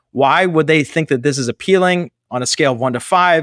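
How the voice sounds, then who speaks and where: An ordinary speaking voice from a man with an American accent, fairly high in pitch, at a fairly quick pace with lively intonation, in a very clean recording with a silent background and a dry, close sound with no echo. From Pittsburgh, Pennsylvania, US. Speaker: nonprofit fundraising consultancy founder. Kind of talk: casual interview.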